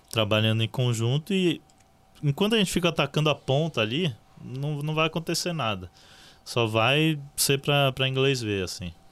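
With an unremarkable speaking voice, a man talks at a moderate pace and with lively intonation, and the recording is very clean with a silent background. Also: fairly high pitch for a man. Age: 20s. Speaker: journalist and social project co-founder. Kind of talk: casual chat.

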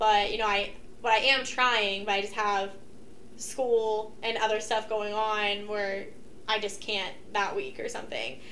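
A woman with an American accent speaks at a fairly slow pace and fairly high pitch, in a monotone, flat intonation. There is audible room echo. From Ohio, Kent area. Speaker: college student. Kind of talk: casual chat.

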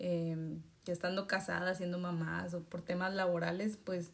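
A woman's medium-pitched, ordinary speaking voice at a fairly slow pace. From Mexico. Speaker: podcast host. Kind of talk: interview.

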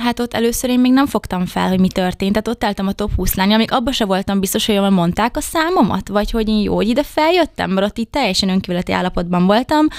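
A woman talks very fast at a medium pitch, with lively intonation, hardly any pauses and very even loudness. The sound is dry and close, with no echo. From Hungary, Debrecen. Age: 20s. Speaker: beauty pageant contestant. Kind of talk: interview. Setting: studio.

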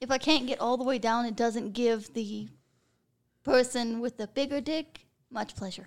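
At a fairly slow pace, a woman speaks in a high pitch in a very clean recording with a silent background. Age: 20s. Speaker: adult film performer and creative director. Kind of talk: casual chat. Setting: studio.

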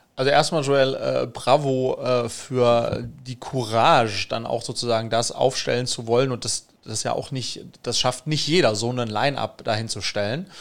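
At a moderate pace with hardly any pauses, a man talks in a plain, everyday voice of medium pitch with fairly even intonation. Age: 40s. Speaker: podcast host and entrepreneur. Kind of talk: podcast interview.

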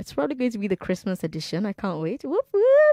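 A woman with a Nigerian accent speaks in a dark, mellow tone, and the sound is dry and close with no echo. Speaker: radio host. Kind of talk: call-in radio talk show.

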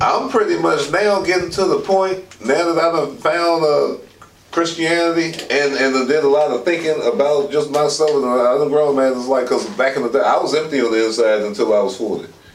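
A man's fairly quick speech with hardly any pauses, ordinary pitch variation and very even loudness, amid audible room echo and noticeable background noise. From Alexandria, Virginia (DC area). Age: 40s. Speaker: formerly homeless street newspaper vendor. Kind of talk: casual conversation, life story.

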